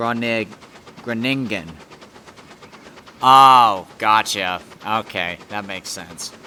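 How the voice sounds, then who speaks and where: Long, frequent pauses break up a man's very slow speech in a New England accent. His fairly low pitch varies in an ordinary way over noticeable background noise. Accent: American, New England. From Connecticut, US. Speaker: game streamer. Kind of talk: casual chat. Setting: live stream. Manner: halting, many fillers.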